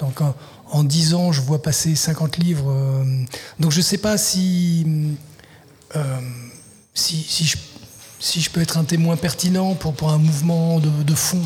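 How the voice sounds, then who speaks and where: Very slow, with long, frequent pauses, the voice holds a very even loudness and fairly even intonation over noticeable background noise. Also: man. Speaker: literary translator and writer. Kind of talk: radio interview. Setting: live broadcast at a festival venue. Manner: halting, many repetitions.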